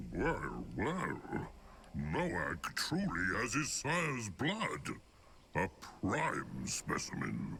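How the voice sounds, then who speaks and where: A put-on character voice moves at a very slow pace, with long, frequent pauses. Background noise is clearly audible. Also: man. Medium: video game. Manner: broken, third-person speech; chuckling, bawdy.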